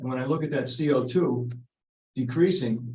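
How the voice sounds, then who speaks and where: A man speaks at a fairly slow pace with lively intonation. His voice is somewhat breathy. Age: 80s+. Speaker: resident speaking at public meeting. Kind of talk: public comment at town meeting. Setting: town selectboard meeting.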